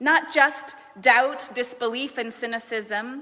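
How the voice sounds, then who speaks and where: Raising and projecting her high-pitched voice, a woman speaks at a very slow pace. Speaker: minister, preacher. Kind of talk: sermon delivered to a congregation.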